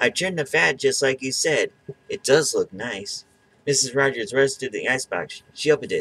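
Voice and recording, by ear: The text is read aloud. The delivery is natural.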